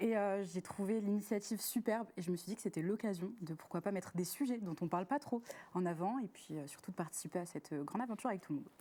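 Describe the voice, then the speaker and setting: A dark, mellow tone at a very fast pace. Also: woman, medium pitch for a woman, ordinary pitch variation. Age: 20s. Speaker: student panelist. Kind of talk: live talk show. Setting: studio.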